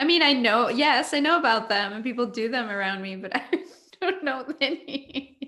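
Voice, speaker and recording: A woman speaks with a Mexican accent at a high pitch. Her intonation is lively. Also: moderate pace. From Mexico. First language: Spanish. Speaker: panel host. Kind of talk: casual chat.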